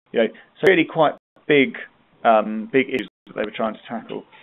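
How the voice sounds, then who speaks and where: A man speaks at a medium pitch in a British accent. His intonation is lively. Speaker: webinar presenter on healthcare improvement. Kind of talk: online training webinar. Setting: live web conference. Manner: fast.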